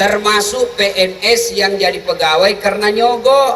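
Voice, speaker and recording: Energetic in tone, a man speaks in a South Sulawesi accent over noticeable background noise. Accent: Bugis Makassar. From Makassar, Indonesia. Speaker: Islamic preacher. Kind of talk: humorous religious sermon to a large crowd. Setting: outdoors, mosque courtyard PA. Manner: lively, energetic, joking.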